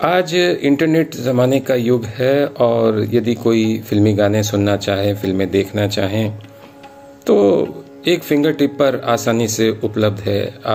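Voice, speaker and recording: A man's voice at very even loudness, with music in the background. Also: medium pitch for a man, ordinary pitch variation. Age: 60s. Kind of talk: tribute commentary.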